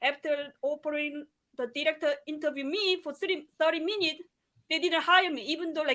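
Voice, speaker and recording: In a non-native accent, the raised, projected voice has a bright, sharp tone, fairly even intonation and a fairly quick pace. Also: woman, high pitch for a woman. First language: not English. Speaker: nurse. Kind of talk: casual chat. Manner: halting.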